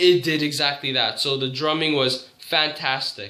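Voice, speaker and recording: A man talks at a fairly high pitch. There is audible room echo and noticeable background noise. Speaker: music reviewer. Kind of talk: album review. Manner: halting, self-correcting.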